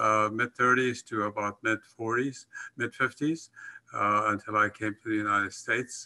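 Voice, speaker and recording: A man's bright, sharp-toned voice. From Afghanistan, Kabul. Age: 80s+. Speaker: professor. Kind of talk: conference presentation. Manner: halting, many fillers.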